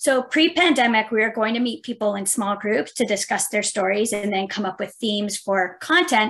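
This woman has an unremarkable speaking voice with a Canadian accent and a fairly high pitch. She talks at a moderate pace with ordinary pitch variation and hardly any pauses. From Mississauga, Ontario. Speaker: heritage outreach coordinator. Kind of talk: casual interview chat.

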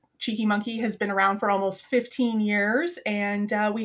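In an ordinary speaking voice, a woman talks at a fairly high pitch and moderate pace with fairly even intonation, on a very clean recording with a silent background. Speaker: UX designer and project manager. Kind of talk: casual interview.

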